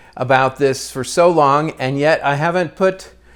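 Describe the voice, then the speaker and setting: With an American accent, a man uses an ordinary speaking voice at a fairly high pitch with ordinary pitch variation. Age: 60s. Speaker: retired media producer and new novelist. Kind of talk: casual vlog monologue. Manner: relaxed, with frequent fillers.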